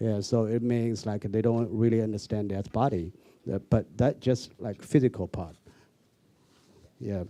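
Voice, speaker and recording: A man with a dark, mellow tone speaks at a fairly slow pace with fairly even intonation, leaving long, frequent pauses. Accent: Chinese. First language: Mandarin Chinese. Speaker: street dance choreographer. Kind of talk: panel discussion. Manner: halting in English.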